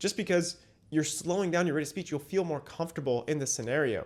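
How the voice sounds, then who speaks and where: Recorded very cleanly against a silent background, a man with a normal speaking voice speaks at a fairly high pitch with lively intonation. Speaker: communication coach and comedian. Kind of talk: casual advice monologue.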